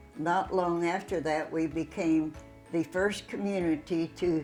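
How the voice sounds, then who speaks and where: Music plays in the background as a woman talks at a very slow pace. Her intonation stays fairly even. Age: 80s+. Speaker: local resident storyteller. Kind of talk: documentary narration of local history.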